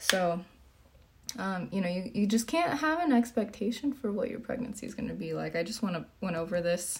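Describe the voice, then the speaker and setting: A woman speaks at medium pitch and a fairly quick pace. Her voice is somewhat breathy, her intonation lively. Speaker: fitness coach and streamer. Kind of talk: casual livestream Q&A.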